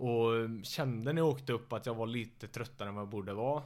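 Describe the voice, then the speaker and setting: A man speaks at medium pitch in a normal speaking voice with ordinary pitch variation. The recording is very clean, with a silent background. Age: 20s. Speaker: MMA fighter. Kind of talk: casual chat. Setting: living room, shared mic.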